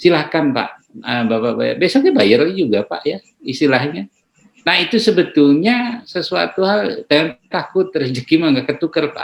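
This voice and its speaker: Vocal fry marks a man's fairly high voice at a moderate pace. His pitch swings very widely. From Dadap, Tangerang area (Betawi Benteng). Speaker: doctor. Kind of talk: interview. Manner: hesitant, many fillers.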